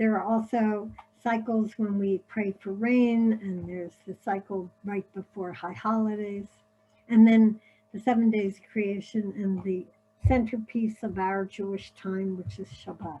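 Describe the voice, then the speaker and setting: In a slight Philadelphia accent, a woman with a medium pitch and a dark, mellow tone speaks somewhat breathily at a fairly slow pace, her intonation monotone and flat while her loudness swings widely. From US Northeast, Philadelphia. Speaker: paper-cut artist. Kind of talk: illustrated presentation. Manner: casual, many filler words.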